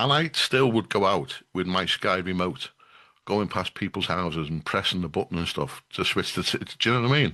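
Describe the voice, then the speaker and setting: Against a quiet background, a man with a Liverpool accent talks at a fairly quick pace, his very deep, low voice bright and sharp in tone, with lively intonation. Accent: Scouse. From Liverpool, England. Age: 60s. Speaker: community radio station manager. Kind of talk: casual chat.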